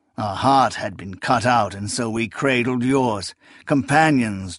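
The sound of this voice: Pitch shifts in an ordinary way through this unforced reading voice.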